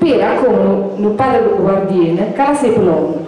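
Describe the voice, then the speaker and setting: There is strong room echo and light background noise. A woman with an Apulian accent speaks in a fairly high pitch with lively intonation. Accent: Apulian, Giovinazzo dialect. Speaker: dialect poet. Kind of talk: poetry reading. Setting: outdoors, live event. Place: hall.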